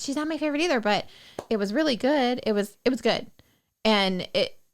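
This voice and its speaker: This woman mumbles at a fairly quick pace. Her pitch is high and her intonation lively. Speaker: podcast host. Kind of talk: casual chat. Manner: mumbling, trails off word endings.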